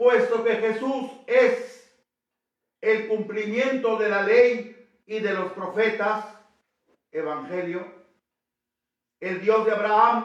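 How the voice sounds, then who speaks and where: In a room with audible echo, a man with a high voice speaks very slowly with fairly even intonation and long, frequent pauses. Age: 80s+. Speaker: priest. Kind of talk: sermon. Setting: church.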